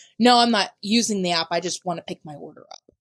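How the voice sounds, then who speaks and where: A loud woman's voice at medium pitch with an American accent and lively intonation, in a dry, close sound with no echo. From US South. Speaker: podcast co-host. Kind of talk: casual chat.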